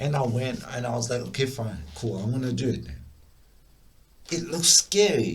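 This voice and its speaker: A man at a medium pitch talks in an animated tone with lively intonation and vocal fry, at a moderate pace with long, frequent pauses. Room echo is audible. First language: not English. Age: adult. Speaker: music producer. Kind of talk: personal storytelling. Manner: halting, repetitive stammers; casual, animated.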